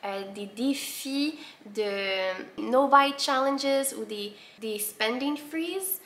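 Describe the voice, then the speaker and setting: A woman with lively intonation. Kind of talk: casual talk to camera.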